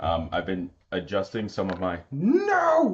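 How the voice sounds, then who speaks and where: Ordinary pitch variation in a man's speech. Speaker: game streamer. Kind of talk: live gameplay commentary. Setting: live stream. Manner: loud; animated.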